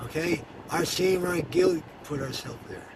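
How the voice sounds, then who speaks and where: In an American accent, a fairly high-pitched man speaks at a moderate pace amid noticeable background noise and audible room echo. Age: 40s. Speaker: ex-convict giving religious testimony. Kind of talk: testimony. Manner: halting, many repetitions.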